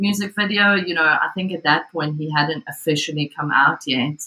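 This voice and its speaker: A woman's very deep, low voice at a moderate pace, with fairly even intonation. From South Africa. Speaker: psychology of religion researcher. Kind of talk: casual academic discussion.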